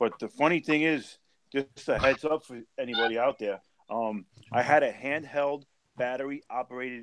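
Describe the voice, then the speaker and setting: A man speaks with a New York accent in a medium pitch, his pitch varying in an ordinary way. The sound is dry and close, with no echo. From New York City. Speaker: live stream participant, reef tank hobbyist. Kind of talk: casual chat.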